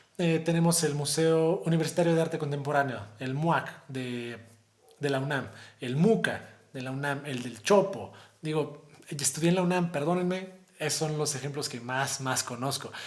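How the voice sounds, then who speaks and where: There is audible room echo and noticeable background noise as a man speaks in a fairly high voice with ordinary pitch variation. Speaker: high school teacher. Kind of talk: lecture. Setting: recorded video for virtual conference. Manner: fast.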